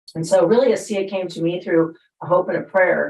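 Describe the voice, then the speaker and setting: With ordinary pitch variation, an unremarkable speaking voice goes along at a fairly quick pace. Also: woman. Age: 60s. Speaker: network marketing distributor. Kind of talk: panel testimony.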